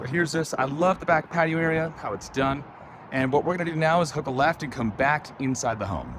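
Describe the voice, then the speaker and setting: A man speaks at a fairly quick pace in a fairly high pitch. Noticeable background noise runs underneath. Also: ordinary pitch variation. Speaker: real estate agent. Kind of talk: property tour walkthrough. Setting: indoors and on patio of a house. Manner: casual, rambling.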